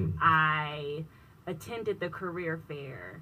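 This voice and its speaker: In a room with audible echo, a woman with a very deep, low pitch and a bright, sharp tone speaks at a fairly slow pace. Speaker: business technology consultant. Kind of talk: radio interview.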